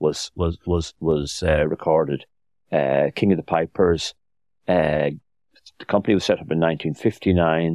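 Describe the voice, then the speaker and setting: A man talks in an Irish accent with a very deep, low pitch. The sound is dry and close with no echo. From Ireland. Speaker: author. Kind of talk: interview. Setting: studio.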